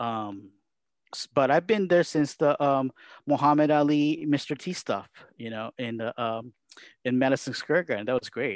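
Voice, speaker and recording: A man speaks with ordinary pitch variation. The background is quiet, and the sound is dry and close with no echo. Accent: Japanese. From Japan. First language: Japanese. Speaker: wrestling commentator. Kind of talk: casual interview.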